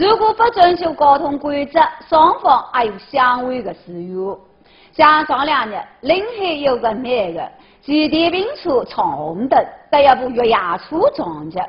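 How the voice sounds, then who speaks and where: The speaker talks at a fairly slow pace in a Zhejiang accent, with very wide pitch swings. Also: woman, high pitch for a woman. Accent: Taizhou Wu dialect. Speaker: news show co-host.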